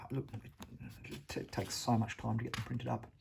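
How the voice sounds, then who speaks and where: This man has an Australian accent and a fairly low pitch, with vocal fry. He keeps a moderate pace and ordinary pitch variation. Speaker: wargaming hobbyist vlogger. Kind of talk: casual vlog talk. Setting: at home. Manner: halting.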